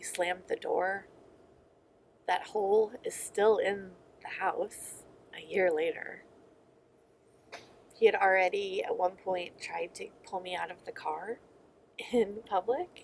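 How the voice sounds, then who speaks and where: Speaking at a very slow pace with long, frequent pauses, a woman's voice swings widely in loudness. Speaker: vlogger. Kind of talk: personal testimony. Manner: halting.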